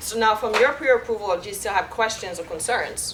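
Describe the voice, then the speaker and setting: Over noticeable background noise, the speaker talks at a fairly quick pace with a French Caribbean accent and ordinary pitch variation. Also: woman. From Guadeloupe, French Caribbean. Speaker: mortgage loan officer. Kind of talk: presentation with audience Q&A.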